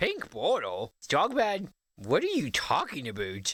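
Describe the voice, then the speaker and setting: A man performs a put-on character voice at a fairly high pitch. His delivery is fairly slow. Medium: video game. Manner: dopey, oblivious.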